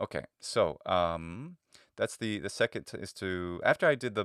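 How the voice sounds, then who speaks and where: A man with an American accent speaks in a very deep, low pitch with ordinary pitch variation. The recording is very clean, with a silent background. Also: dry, close sound with no echo. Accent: American English, slight diphthong on E. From United States. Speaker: language teacher and YouTuber. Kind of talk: tutorial. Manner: halting, many fillers.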